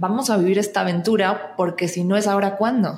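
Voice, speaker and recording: The woman's voice sits at a medium pitch. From Argentina, Buenos Aires. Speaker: actress and singer. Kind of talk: casual interview chat.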